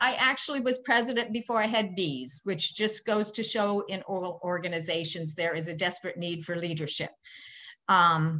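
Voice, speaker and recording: This voice moves at a moderate pace, with lively intonation and a bright, sharp tone. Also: woman, quiet background. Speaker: presenter. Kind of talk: lecture. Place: home room. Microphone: webcam.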